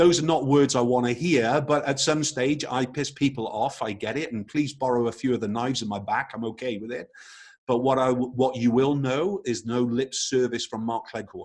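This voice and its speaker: With an English accent, a man talks at a medium pitch. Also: ordinary pitch variation, moderate pace. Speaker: photography business trainer. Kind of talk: webinar presentation. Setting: live online webinar. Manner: hesitant, frequent fillers and repetitions.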